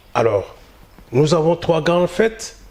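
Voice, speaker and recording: Background noise is noticeable here. Through it comes a man's voice. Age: 60s. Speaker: community association leader. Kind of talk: interview. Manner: halting, many hesitations.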